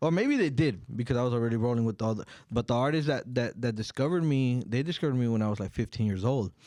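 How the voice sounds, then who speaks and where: Hardly pausing, a man with a dark, mellow tone speaks at a very fast pace with ordinary pitch variation. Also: medium pitch for a man, quiet background. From Oxnard, California. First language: Spanish. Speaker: rapper and songwriter. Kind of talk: interview. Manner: casual, halting with many fillers.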